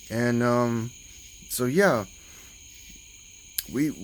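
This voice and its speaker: This man has a strong Southern US accent. His voice is medium in pitch, with ordinary variation. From US South, southern Alabama. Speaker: YouTuber. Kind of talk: casual vlog talk.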